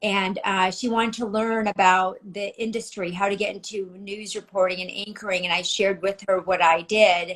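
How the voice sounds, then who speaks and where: Monotone, flat intonation in an American accent, at a moderate pace with hardly any pauses. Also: woman, medium pitch for a woman. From United States. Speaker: former news anchor and producer. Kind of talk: interview. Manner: articulate, polished.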